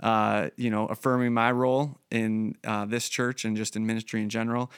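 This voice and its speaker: A man speaks in a normal speaking voice at a medium pitch and a fairly quick pace, with fairly even intonation. The recording is very clean, with a silent background and a dry, close sound with no echo. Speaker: church pastor and podcast host. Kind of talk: casual interview chat. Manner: conversational, with filler words.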